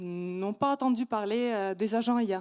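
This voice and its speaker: A woman speaks with a non-native accent at a fairly high pitch. The recording is very clean, its background silent. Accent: foreign accent in French. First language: not French (speaking French). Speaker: startup founder. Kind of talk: startup pitch. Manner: hesitant, many fillers.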